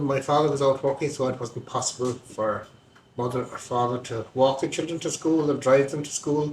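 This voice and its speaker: In a Kerry accent, a man speaks at a moderate pace with a fairly high pitch and fairly even intonation. Noticeable background noise runs underneath. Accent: Irish, Kerry. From Ireland, County Kerry. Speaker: local interviewee recalling village life. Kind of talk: oral history interview.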